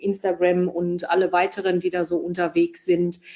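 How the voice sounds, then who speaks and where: A woman's medium-pitched voice, monotone with flat intonation. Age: 40s. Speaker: financial advisor. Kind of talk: interview. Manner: hesitant, many fillers.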